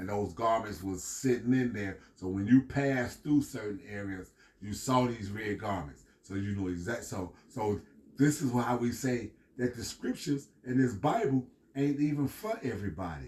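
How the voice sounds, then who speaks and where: A man with an American accent speaks at a moderate pace in a medium pitch, his somewhat breathy voice animated in tone with ordinary pitch variation. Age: 60s. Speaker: street preacher / scripture teacher. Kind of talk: scripture teaching. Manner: animated, repetitive.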